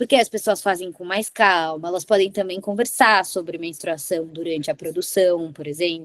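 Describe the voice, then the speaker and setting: This woman speaks at a moderate pace with an animated tone, medium pitch, ordinary pitch variation and hardly any pauses. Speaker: lawyer. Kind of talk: workshop talk.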